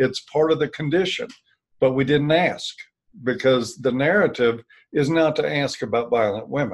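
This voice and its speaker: A man talks at a moderate pace in a plain, everyday voice. His pitch is fairly high, and his intonation is lively. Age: 60s. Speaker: author and former counselor. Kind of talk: interview.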